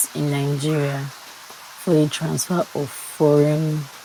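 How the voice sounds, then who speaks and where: The speech moves at a fairly slow pace in a calm tone. Noticeable background noise is present. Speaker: law student. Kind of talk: study read-aloud of law notes.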